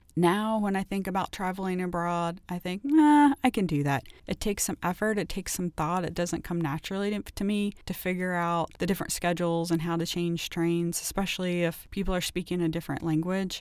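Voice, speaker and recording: In a normal speaking voice, a woman with an American accent talks fairly quickly with hardly any pauses, her fairly low pitch varying in an ordinary way, in a very clean recording with a silent background. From Ohio, US Midwest. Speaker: wellness podcast host and author. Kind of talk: solo wellness podcast monologue. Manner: frequent laughter, upbeat.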